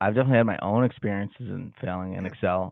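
A man with an American accent speaks at a fairly low pitch with ordinary pitch variation. He has a plain, everyday voice. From Massachusetts, Salem. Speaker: podcast host and Excel trainer. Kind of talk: casual interview.

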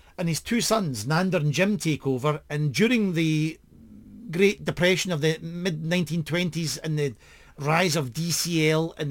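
With a Scottish accent, a man talks at a fairly slow pace in a fairly high voice with ordinary pitch variation. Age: 50s. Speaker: podcast host. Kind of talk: casual chat.

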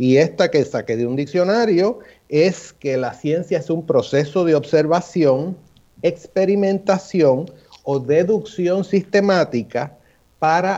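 A man's high-pitched voice with a dark, mellow tone, lively intonation and a very slow pace. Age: 60s. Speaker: physician scientist. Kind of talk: radio panel discussion.

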